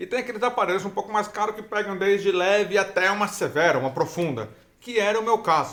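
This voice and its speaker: A man speaking at a fairly quick pace. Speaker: hearing-impaired vlogger sharing experience. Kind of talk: casual vlog talk. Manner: halting.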